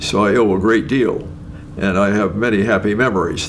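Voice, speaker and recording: With a Canadian accent, a man speaks in a fairly low pitch with ordinary pitch variation, amid audible room echo and noticeable background noise. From Ontario, Canada. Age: 90s. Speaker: retired nuclear scientist. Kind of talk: interview. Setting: at home. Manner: halting, with many fillers.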